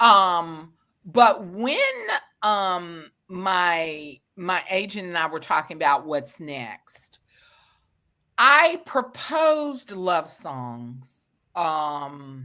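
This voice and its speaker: In a strong Southern US accent, a bright, sharp tone moves at a very slow pace with lively intonation and big swings in loudness, on a very clean recording with a silent background. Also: woman, fairly low pitch for a woman. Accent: deep Southern American. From US South. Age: 50s. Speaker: author. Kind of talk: interview.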